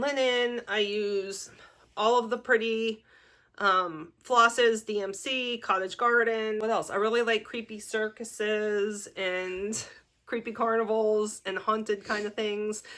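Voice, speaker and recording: A woman's fairly high, bright, sharp voice with a Pittsburgh accent, very slow pace and fairly even intonation, on a very clean recording with a silent background. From US, Pittsburgh. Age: 40s. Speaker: crafting vlogger. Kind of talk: casual vlog talk. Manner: hesitant, many fillers.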